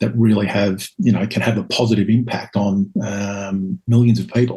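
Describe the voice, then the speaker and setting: A man speaks in a somewhat breathy voice at a fairly low pitch, with monotone, flat intonation. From Scotland and Northern Ireland. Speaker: author and spiritual teacher. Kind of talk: podcast interview. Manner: hesitant, many fillers.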